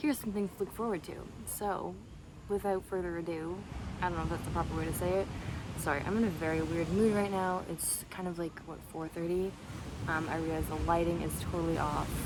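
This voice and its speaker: Noticeable background noise runs under speech delivered fairly quickly. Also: woman. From Canada, Toronto. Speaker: video blogger. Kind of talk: casual vlog monologue. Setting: outdoors by the sea. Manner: fast.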